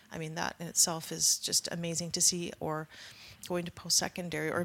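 A woman with a western Canadian accent speaks at a fairly quick pace in a fairly low, flat, monotone voice. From northeast British Columbia, Canada. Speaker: First Nation band manager. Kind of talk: interview conversation.

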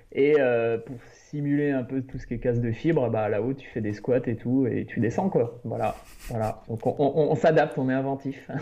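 In a plain, everyday voice, a man speaks at medium pitch and a moderate pace with fairly even intonation. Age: 30s. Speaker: illustrator and trail runner. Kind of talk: casual interview.

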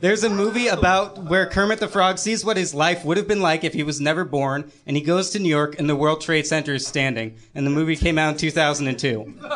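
Over noticeable background noise, a man with a fairly high pitch speaks with hardly any pauses. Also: ordinary pitch variation, fairly quick pace. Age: young. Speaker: audience regular. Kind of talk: live comedy banter.

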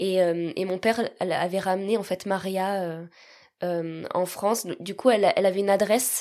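A woman speaks at a fairly slow pace in a medium-pitched voice with a dark, mellow tone and fairly even intonation. The recording is very clean, with a silent background. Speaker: guest telling adoption story. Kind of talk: personal testimony. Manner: smiling.

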